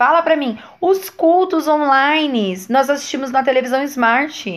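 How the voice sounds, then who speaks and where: This woman has a high pitch, very wide pitch swings, an animated tone and a fairly slow pace. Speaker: video blogger, church member. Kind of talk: casual vlog monologue.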